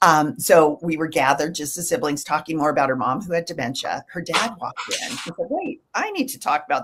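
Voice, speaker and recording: The speech has very wide pitch swings and hardly any pauses. Background noise is noticeable. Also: woman. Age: 60s. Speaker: end-of-life doula and nurse. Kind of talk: casual interview conversation.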